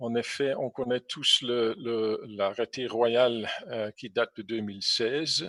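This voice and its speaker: Very slowly and with hardly any pauses, a man speaks at a medium pitch with fairly even intonation. His tone is bright and sharp, and the sound is dry and close with no echo. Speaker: drone industry expert, presenter. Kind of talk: presentation, webinar talk. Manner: halting, many fillers.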